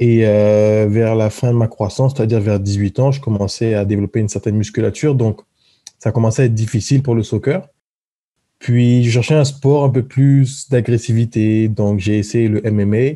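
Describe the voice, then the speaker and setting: Dark, mellow tone at a moderate pace, with very even loudness, fairly even intonation and a quiet background. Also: man, medium pitch for a man. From southern France (Marseille area), born in French Guiana. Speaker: professional football player. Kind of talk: interview.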